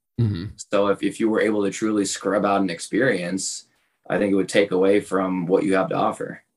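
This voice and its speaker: A man talks in a normal speaking voice, pitched fairly low. His intonation stays fairly even and his pace is fairly quick. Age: 30s. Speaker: podcast co-host friend. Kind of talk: casual chat.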